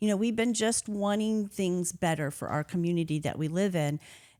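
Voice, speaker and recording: An ordinary speaking voice from a woman, fairly low in pitch with ordinary pitch variation, on a very clean recording with a silent background. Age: 60s. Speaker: politician. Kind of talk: interview.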